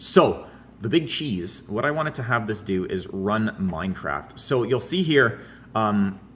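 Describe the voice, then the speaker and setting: This man has a fairly low voice. His pitch varies in an ordinary way. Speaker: tech hardware YouTuber. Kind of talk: casual tutorial. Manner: casual, hesitant with fillers; fast.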